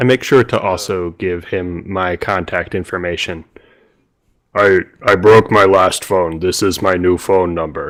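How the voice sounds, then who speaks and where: Putting on a character voice, a man delivers his lines in a deadpan tone at a very deep, low pitch and a fairly slow pace. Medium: actual play. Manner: deadpan, literal.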